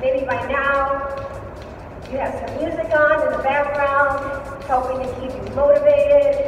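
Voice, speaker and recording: A woman speaking at a fairly slow pace, her loudness swinging widely, with audible room echo and light background noise. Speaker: fitness instructor. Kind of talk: workout instruction. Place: gym. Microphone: camera far.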